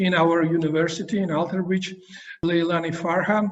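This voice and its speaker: A man with a high pitch speaks in a monotone, flat intonation. The recording has audible room echo and noticeable background noise. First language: Georgian. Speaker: university professor interviewer. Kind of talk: interview. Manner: halting.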